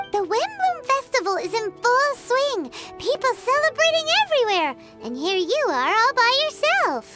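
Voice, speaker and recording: A squeaky, put-on character voice at an extremely high pitch moves at a moderate pace. Loud music plays in the background. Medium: video game. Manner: refers to herself in third person.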